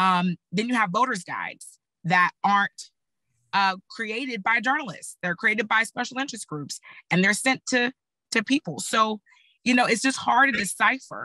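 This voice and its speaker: A woman with a slight Texas accent speaks at a moderate pace with a fairly high pitch and ordinary pitch variation. Her tone is bright and sharp, and the sound is dry and close, with no echo. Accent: slight Texas twang. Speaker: political communication panelist, former candidate. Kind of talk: panel discussion.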